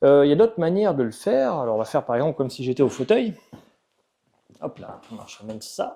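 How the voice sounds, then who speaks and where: With lively intonation and a dark, mellow tone, a man at a medium pitch talks at a fairly quick pace. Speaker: physiotherapist. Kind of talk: tutorial. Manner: fast; casual, informal.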